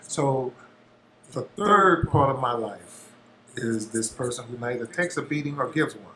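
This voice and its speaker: A man at medium pitch with ordinary pitch variation and big swings in loudness, over noticeable background noise. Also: moderate pace. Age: 60s. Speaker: musician, interview guest. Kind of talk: casual interview chat.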